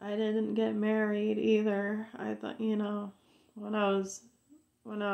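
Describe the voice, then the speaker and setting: The speaker is a woman with a medium pitch. She talks in a monotone, flat way. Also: quiet background. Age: 30s. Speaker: video blogger. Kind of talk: personal rant to camera. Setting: home video recording. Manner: halting, repetitive. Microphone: phone near.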